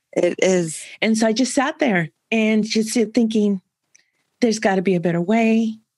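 An American woman with a normal speaking voice talks at a moderate pace and fairly high pitch, with ordinary pitch variation. Her loudness is very even, and the sound is dry and close with no echo. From San Francisco, California. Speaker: content marketing strategist, ex-CFO. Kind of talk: interview conversation.

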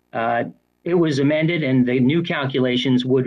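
A man at medium pitch, with ordinary pitch variation.

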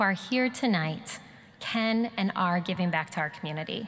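A woman talks at a moderate pace. Light background noise runs underneath. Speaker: speaker. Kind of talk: ceremonial speech. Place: hall. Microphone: podium.

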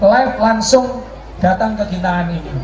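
The speech moves at a fairly quick pace, with audible room echo and light background noise. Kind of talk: formal ceremonial speech. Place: open country.

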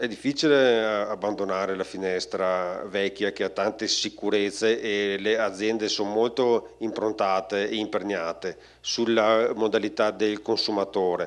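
With an ordinary speaking voice, a man talks at a fairly slow pace, his pitch fairly low and his intonation fairly even. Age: 40s. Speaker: company creative director; speaker. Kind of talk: conference talk. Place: hall. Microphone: handheld.

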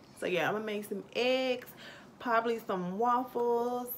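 A woman's fairly high voice with ordinary pitch variation at a fairly slow pace, over faint background noise

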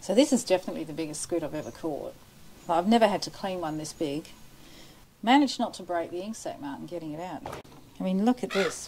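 A woman at a very fast pace, with very wide pitch swings, big swings in loudness and light background noise. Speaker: vlogger cleaning fish. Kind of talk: casual vlog chat. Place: street. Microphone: lapel.

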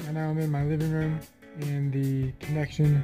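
Music plays in the background as a man talks. His pitch is fairly high and his pace moderate. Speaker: mobile game video creator. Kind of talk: casual talk to camera while gaming.

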